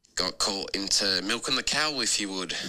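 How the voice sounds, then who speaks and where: A man speaks with a slight New Zealand accent at a fairly low pitch. His tone is bright and sharp. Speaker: fan sending a voice note. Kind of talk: voice note message. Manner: halting with many fillers.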